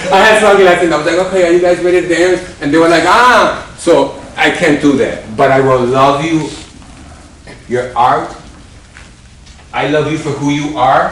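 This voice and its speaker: Through noticeable background noise and audible room echo, a man with a fairly high pitch speaks at a moderate pace, pausing long and often, with ordinary pitch variation. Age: 60s. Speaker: dance choreographer and show host. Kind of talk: motivational talk to dancers. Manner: animated.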